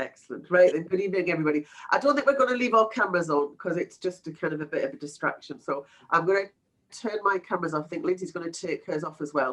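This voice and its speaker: Here a woman speaks with a Geordie accent at a medium pitch. She talks at a very fast pace with lively intonation. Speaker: webinar presenter, project management consultant. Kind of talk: webinar presentation. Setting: online webinar. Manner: casual, filler-heavy.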